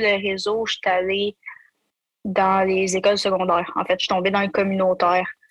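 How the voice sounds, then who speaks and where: A woman speaks in a Quebec accent at a medium pitch. Her intonation stays monotone and flat. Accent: Québécois French. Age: 20s. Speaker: youth worker and aerospace student. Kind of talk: personal testimony interview.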